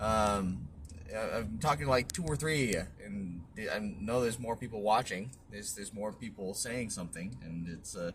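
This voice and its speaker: A man's fairly low voice at a moderate pace, full of lively intonation. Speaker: book review youtuber. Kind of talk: casual book synopsis vlog. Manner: halting, many fillers and restarts; casual, conversational.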